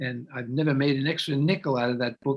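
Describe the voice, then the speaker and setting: Speaking in an American accent, a man has a fairly high pitch and a somewhat breathy voice. He keeps a moderate pace with ordinary pitch variation. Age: 90s. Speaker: author. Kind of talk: interview.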